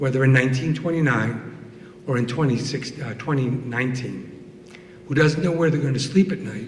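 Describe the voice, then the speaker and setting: Here a man talks at a moderate pace with ordinary pitch variation. Noticeable background noise and audible room echo surround him. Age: 60s. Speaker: storyteller. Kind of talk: storytelling.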